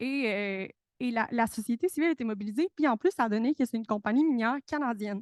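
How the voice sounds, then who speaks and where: The speaker goes at a very fast pace with ordinary pitch variation, recorded dry and close with no echo against a quiet background. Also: woman, fairly high pitch for a woman. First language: Spanish (speaking French). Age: young. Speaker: researcher, conference participant. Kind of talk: panel talk. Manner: hesitant, many fillers and repetitions.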